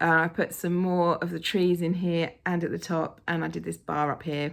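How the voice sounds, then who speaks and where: A woman speaks with an English accent. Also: very clean recording, silent background. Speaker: cross-stitch vlogger. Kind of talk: casual vlog chat. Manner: animated.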